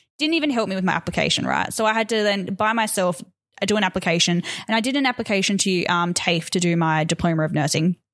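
Speaking with an Australian accent, a woman talks at a very fast pace and medium pitch. Her loudness stays very even, with ordinary pitch variation. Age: 30s. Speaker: podcast co-host. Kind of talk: casual chat.

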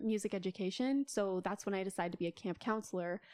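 A woman with an American accent and a medium pitch, ordinary pitch variation and a normal speaking voice, in a dry, close sound with no echo. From South Dakota, US Midwest. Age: 20s. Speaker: photographer and art student. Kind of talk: casual chat.

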